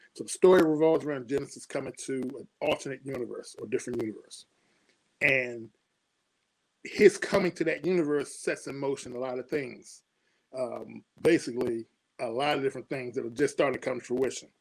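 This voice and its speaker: A man with an American accent talks at a fairly quick pace in a medium pitch, with ordinary pitch variation and an ordinary speaking voice. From Washington, D.C. area (Suitland, Maryland). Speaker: comic book publisher and writer. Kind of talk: casual interview chat.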